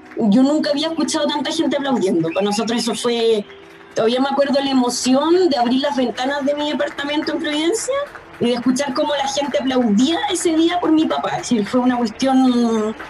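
Over background music and audible room echo, a woman with a Chilean accent speaks fairly quickly in a high pitch with lively intonation. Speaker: daughter of a deceased doctor. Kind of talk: testimony. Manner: halting.

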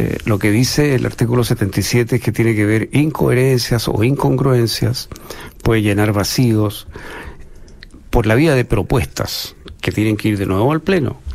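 At a fairly slow pace, a man talks in a medium pitch with ordinary pitch variation and very even loudness. It is a normal speaking voice. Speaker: political analyst panelist. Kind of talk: political discussion.

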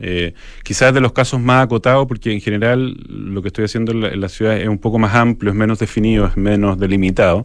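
A man's fairly low voice at a very fast pace, fairly even in intonation, with hardly any pauses. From Chile, Santiago. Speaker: architecture photographer. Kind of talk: radio interview. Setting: radio studio. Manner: halting.

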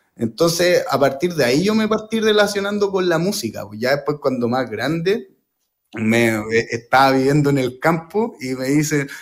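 Speaking at a fairly slow pace, a man uses a Chilean accent. His voice is high-pitched, with very wide pitch swings. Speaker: jazz guitarist. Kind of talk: radio interview. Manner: halting.

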